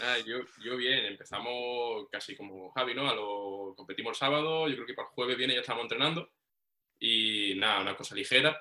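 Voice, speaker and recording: This is a man with a normal speaking voice at medium pitch. He talks at a fairly quick pace with ordinary pitch variation. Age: 20s. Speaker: powerlifter. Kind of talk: casual chat.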